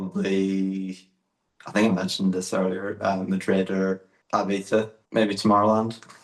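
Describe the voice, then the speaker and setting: The speaker has a Northern Irish accent, talking at a moderate pace with monotone, flat intonation. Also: man, fairly low pitch for a man. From Northern Ireland. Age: 20s. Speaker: electronic music artist. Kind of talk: interview. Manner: halting.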